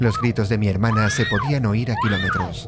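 A man speaks at a moderate pace in a dramatic, intense tone over noticeable background noise. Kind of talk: scripted horror story narration, first-person creepypasta. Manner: suspenseful, hushed, dramatic pacing with pauses; intense, menacing build-up toward the killing.

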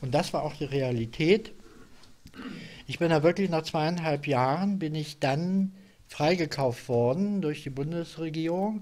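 A man with ordinary pitch variation. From Silesia. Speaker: former East German political prisoner. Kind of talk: oral history interview answer. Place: home room. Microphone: studio mic.

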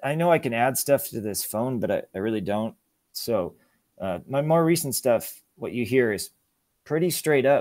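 With an American accent and lively intonation, a man talks at a moderate pace with long, frequent pauses against a quiet background. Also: medium pitch for a man. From US West Coast, San Diego; California. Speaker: musician; podcast guest. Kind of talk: interview conversation. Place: home room.

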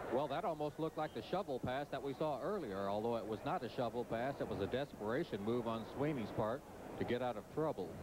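A man's medium-pitched voice at a very fast pace, with lively intonation and very even loudness, dry with no echo, over noticeable background noise. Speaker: color commentator. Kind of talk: live commentary. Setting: stadium broadcast booth.

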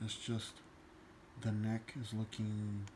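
A man talks at a fairly low pitch and a fairly slow pace. His voice is somewhat breathy. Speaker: toy collector. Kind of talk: tutorial. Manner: halting.

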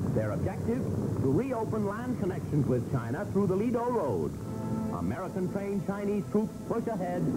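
Over music in the background, a man talks at a moderate pace in a high voice that swings very widely in pitch. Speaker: newsreel narrator. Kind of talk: newsreel narration.

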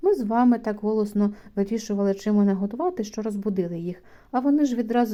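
The voice is natural, reading something aloud.

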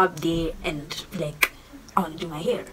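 A woman speaks over noticeable background noise. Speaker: first-time vlogger. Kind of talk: casual vlog chat. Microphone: phone near.

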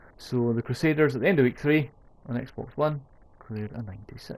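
The speaker talks at a moderate pace in a Scottish accent. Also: man. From Scotland. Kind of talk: gaming commentary voiceover. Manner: casual, hesitant.

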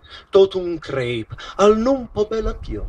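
The speaker talks at a very slow pace with a Romagnolo accent. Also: man. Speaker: poetry reader. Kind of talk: poetry reading. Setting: outdoors. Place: stage. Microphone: handheld.

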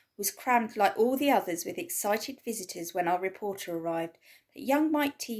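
Lively intonation runs through this one. It is plain reading aloud.

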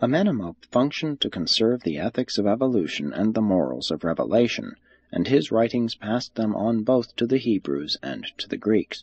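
In a plain, everyday voice, a man at a medium pitch talks at a moderate pace with lively intonation and hardly any pauses. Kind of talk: audiobook reading of a religious text. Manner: formal, measured; even, solemn narration.

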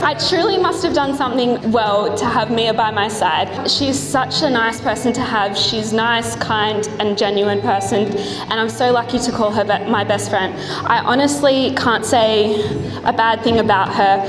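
With clear music in the background, a woman speaks at a moderate pace with ordinary pitch variation and very even loudness. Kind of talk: wedding speech. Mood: warm, emotional, laughing. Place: hall. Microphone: handheld.

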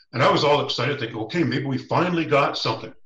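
Audible room echo surrounds a man with a Canadian accent whose fairly high pitch carries a bright, sharp tone. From Canada. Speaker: First Nations knowledge keeper; guest. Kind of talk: storytelling. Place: office. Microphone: video call.

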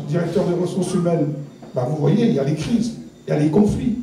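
Over light background noise and audible room echo, a man speaks at a high pitch with lively intonation. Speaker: election candidate. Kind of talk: campaign speech. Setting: outdoor rally with audience.

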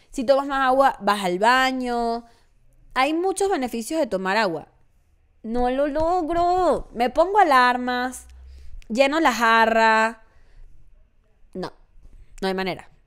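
A high-pitched woman at a very slow pace, with very wide pitch swings, long, frequent pauses and a quiet background. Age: 20s. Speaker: content creator. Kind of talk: casual monologue. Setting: home studio. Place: home room. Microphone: studio mic.

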